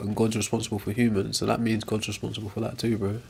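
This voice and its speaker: The speaker mumbles at a very fast pace. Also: man. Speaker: live streamer. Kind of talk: casual chat. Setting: live stream. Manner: mumbling.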